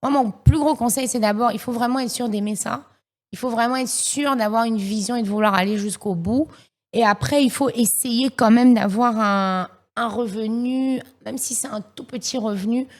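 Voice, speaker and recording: In a very clean recording with a silent background, a woman with an English accent speaks at a moderate pace, her fairly high pitch showing ordinary variation. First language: English (speaking French). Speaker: singer and rapper. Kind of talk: podcast interview. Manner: halting, many fillers and repeats.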